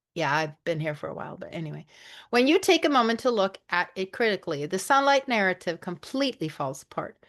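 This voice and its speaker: A woman's very fast speech at a medium pitch, with very wide pitch swings and big swings in loudness over a quiet background. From Sweden. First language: Swedish. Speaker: online show host. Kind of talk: reading aloud. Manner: halting over hard words.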